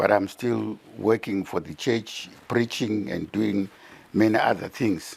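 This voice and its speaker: With vocal fry, a man speaks at a fairly slow pace and ordinary pitch variation. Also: fairly low pitch for a man. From Zimbabwe. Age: 70s. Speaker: retired pastor. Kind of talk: interview. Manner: code-switching between Shona and English.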